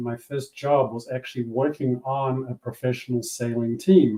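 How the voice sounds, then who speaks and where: A man with a New Zealand accent, medium in pitch, at a moderate pace and with fairly even intonation. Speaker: business coach and former yacht racer. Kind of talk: interview.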